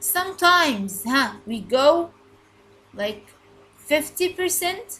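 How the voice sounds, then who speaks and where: A woman's raised, projected voice, high-pitched with a bright, sharp tone and very wide pitch swings, at a very slow pace. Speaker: English teacher. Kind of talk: recorded lesson. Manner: loud; repetitive, halting.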